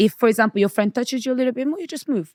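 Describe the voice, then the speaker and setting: A Portuguese accent with ordinary pitch variation, in a dry, close sound with no echo. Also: woman. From Portugal, Angolan parents; UK from age 12. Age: 30s. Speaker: podcast guest, women's relationship commentator. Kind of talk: casual interview. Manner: bold, assertive.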